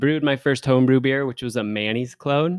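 A man's medium-pitched voice with ordinary pitch variation, recorded dry and close with no echo. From Seattle area, Washington. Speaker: head brewer. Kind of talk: casual chat.

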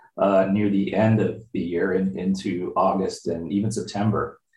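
A man with an Ontario accent and fairly even intonation. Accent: Canadian (Ontario). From Windsor, Ontario, Canada. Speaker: meteorologist, tornado research director. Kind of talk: interview. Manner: halting, with fillers and repeats.

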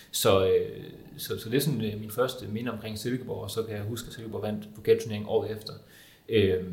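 A somewhat breathy man speaks at a fairly quick pace but with long, frequent pauses. His medium pitch has fairly even intonation, and room echo is audible. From Denmark, Viborg. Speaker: journalist and football fan. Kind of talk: panel discussion.

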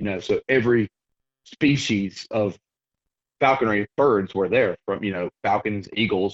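In a Southern US accent, a man speaks fairly slowly at a fairly low pitch with ordinary pitch variation. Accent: Southern US (Georgia). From US South, Georgia (near Athens). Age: 30s. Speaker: falconer and hunter. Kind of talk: casual interview.

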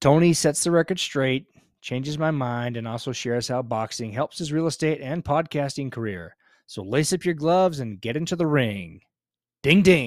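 This man talks at a moderate pace with lively intonation and a fairly high pitch, in a normal speaking voice. The recording is very clean, with a silent background. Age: 50s. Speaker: podcast host and realtor. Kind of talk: scripted intro; casual interview chat.

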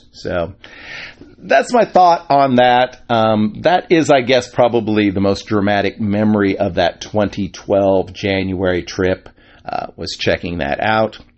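Talking at a fairly slow pace, a man with fairly low pitch and lively intonation has an unremarkable speaking voice. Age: 50s. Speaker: podcast host. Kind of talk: casual monologue.

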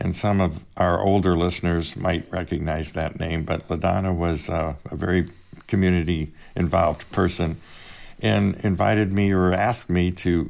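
On a very clean recording with a silent background, a man with a US Midwestern accent speaks at a very deep, low pitch with fairly even intonation. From Indiana, Fort Wayne. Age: 70s. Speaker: company vice president. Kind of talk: casual interview. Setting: office studio, across the table.

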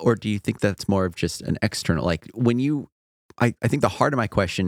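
Recorded with a dry, close sound and no echo, a normal speaking voice moves at a fairly quick pace with lively intonation. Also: man. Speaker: podcast host. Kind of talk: casual podcast chat.

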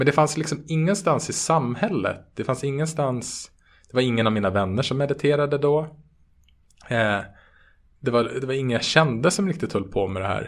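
This man has an unremarkable speaking voice, fairly high in pitch, with lively intonation and a moderate pace. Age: 30s. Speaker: meditation teacher and app co-founder. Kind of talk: interview. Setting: online call.

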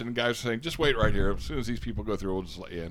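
In an American accent, a man talks at a medium pitch. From California. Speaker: convention-going pop culture commentator. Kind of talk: casual chat. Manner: animated.

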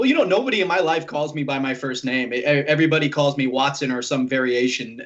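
A normal speaking voice moves at a moderate pace. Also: man. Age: 30s. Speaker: guest horror podcaster. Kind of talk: casual banter, horror movie review podcast. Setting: remote call, Skype.

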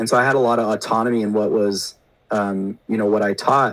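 With ordinary pitch variation, a man talks in a fairly low register. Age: 30s. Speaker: teacher and podcaster. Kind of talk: casual chat.

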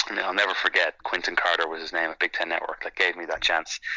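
In an Irish accent, a man talks with a bright, sharp tone. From Ireland. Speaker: sports commentator. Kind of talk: interview.

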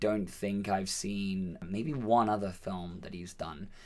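A man speaks with a fairly low pitch and hardly any pauses. Audible room echo surrounds his voice. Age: 30s. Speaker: film podcast co-host. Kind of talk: casual chat.

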